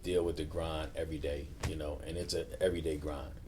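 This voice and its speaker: A man with a Baltimore accent speaks at a moderate pace in a dark, mellow tone with vocal fry. Pitch variation is ordinary, and audible room echo is present. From Baltimore, Maryland. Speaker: navy chief recruiter. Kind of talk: casual chat.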